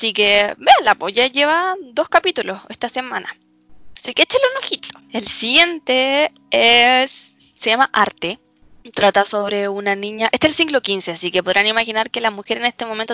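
An animated tone with lively intonation at a moderate pace, over music in the background. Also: woman, fairly high pitch for a woman. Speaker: student podcast co-host. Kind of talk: casual chat about anime and series. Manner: animated, laughing often.

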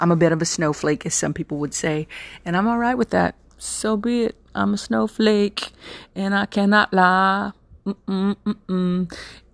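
In a very clean recording with a silent background and dry, close sound with no echo, a woman with an American accent speaks at a moderate pace and medium pitch with ordinary pitch variation. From Texas. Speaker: podcast host. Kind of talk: casual solo monologue. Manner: animated.

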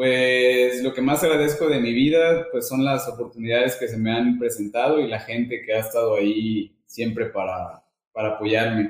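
A man talks in a normal speaking voice at a medium pitch with ordinary pitch variation. His pace is moderate, with hardly any pauses. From Mexico, Veracruz. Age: 30s. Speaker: business owner. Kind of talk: interview.

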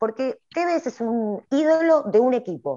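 A woman's dark, mellow tone with very wide pitch swings over a quiet background. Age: 40s. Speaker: writer. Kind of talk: casual chat.

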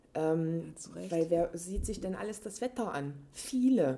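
Over noticeable background noise, a woman with a fairly low voice speaks at a fairly slow pace. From Leipzig, Saxony, eastern Germany. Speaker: interviewee, contemporary witness of post-reunification youth. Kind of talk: casual conversation.

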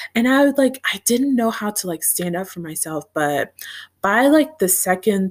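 Here a woman uses a plain, everyday voice. Her intonation is lively and her pace moderate. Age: 20s. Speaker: podcaster and grad student. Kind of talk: casual monologue. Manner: giggly, frequent laughter.

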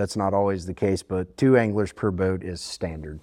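A man in a Southern US accent at a fairly quick pace against a quiet background. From US South, southern Alabama (Fairhope, Mobile Bay). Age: 30s. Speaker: fishing guide. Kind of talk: casual interview.

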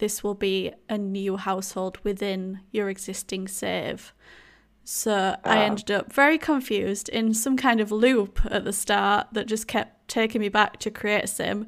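A woman with a strong Yorkshire accent talks at a fairly slow pace and a medium pitch, with fairly even intonation, in a very clean recording with a silent background. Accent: thick Yorkshire English. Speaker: podcast co-host, Sims video creator. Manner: chatty, casual.

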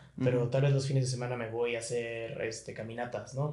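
A man's somewhat breathy, medium-pitched voice with a Mexican accent and audible room echo. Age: 30s. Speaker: podcast host. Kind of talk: casual chat.

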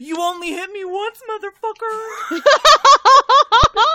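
Very slow pace and extremely high pitch in a put-on character voice. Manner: defiant.

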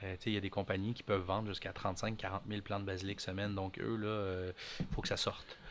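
Speaking at a fairly quick pace, a man keeps his fairly low voice in a monotone, flat intonation. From Quebec (Montreal). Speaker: micro-greens farmer. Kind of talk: casual interview.

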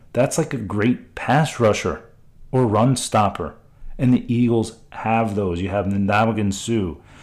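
Over a silent background in a very clean recording, a man talks in an ordinary speaking voice, medium in pitch, with ordinary pitch variation. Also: fairly slow pace. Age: 40s. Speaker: podcast host and investment advisor. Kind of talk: solo podcast monologue.

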